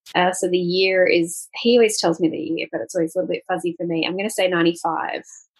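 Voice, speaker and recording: With an Australian accent, a woman talks at a medium pitch and shows ordinary pitch variation. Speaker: travel podcast host. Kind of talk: casual interview.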